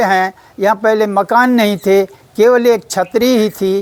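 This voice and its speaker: A man speaks with a high pitch. His intonation is flat and monotone. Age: 80s+. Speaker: devotee. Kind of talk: testimony.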